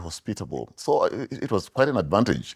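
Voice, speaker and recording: A man speaks with a dark, mellow tone on a very clean recording with a silent background. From Zimbabwe. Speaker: orthodontist. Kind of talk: interview. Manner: halting, many fillers.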